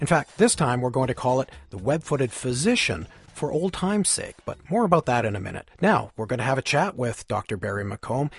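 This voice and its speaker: Somewhat breathy, a man talks at a fairly quick pace with hardly any pauses and very wide pitch swings. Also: dry, close sound with no echo. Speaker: magazine editor and podcast host. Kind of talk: interview chat.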